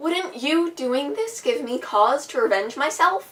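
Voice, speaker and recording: In a put-on character voice, a woman speaks high and fairly slowly, swinging her pitch very widely. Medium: solo performance.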